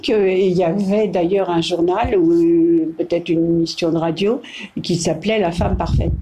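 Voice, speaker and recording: Noticeable background noise sits under a woman's voice. She speaks fairly slowly with fairly even intonation. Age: 80s+. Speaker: great-grandmother interviewed by granddaughter. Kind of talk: casual interview. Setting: home, over coffee. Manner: halting, many hesitations.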